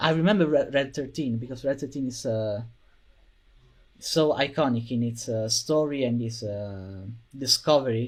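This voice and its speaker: This man speaks at a medium pitch with a non-native accent. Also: ordinary pitch variation, moderate pace. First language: not English. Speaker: video game fan. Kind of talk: casual chat. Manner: halting, many fillers.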